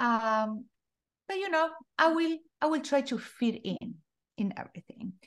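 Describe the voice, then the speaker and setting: A woman speaks in a Spanish accent with high pitch and lively intonation. Her pace is moderate, broken by long, frequent pauses. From Argentina. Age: 40s. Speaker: life coach. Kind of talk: interview.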